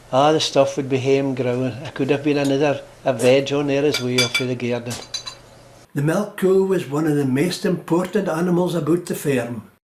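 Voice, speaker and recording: Against noticeable background noise, a man talks at a moderate pace with a fairly high pitch and ordinary pitch variation. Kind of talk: documentary narration.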